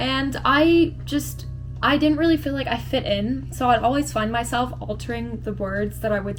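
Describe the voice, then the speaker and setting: A woman speaks at a moderate pace, with noticeable background noise and audible room echo around her voice. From England, near London (moved to US at about 9). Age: 20s. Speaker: beauty vlogger. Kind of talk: casual chat while doing makeup. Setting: at home. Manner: casual, filler-heavy.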